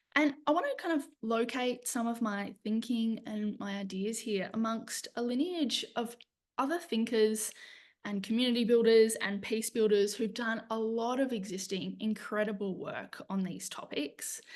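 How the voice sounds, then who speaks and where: With a fairly high pitch, a woman speaks at a moderate pace in a somewhat breathy voice with ordinary pitch variation. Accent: Australian. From Australia, east coast. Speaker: lecturer in conflict transformation, social worker. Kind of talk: webinar presentation. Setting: online webinar.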